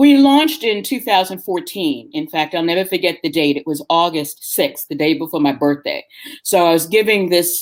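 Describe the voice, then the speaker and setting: In an ordinary speaking voice with an American accent, the speaker has lively intonation and a moderate pace. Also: woman. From New York City, the Bronx. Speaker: tour company owner. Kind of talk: interview. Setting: live stream interview.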